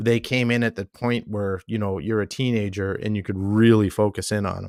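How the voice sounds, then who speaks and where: An unremarkable speaking voice from a man at a fairly low pitch and fairly quick pace, fairly even in intonation, on a very clean recording, silent background, with a dry, close sound with no echo. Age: 50s. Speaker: artist and entrepreneur, podcast host. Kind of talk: casual chat.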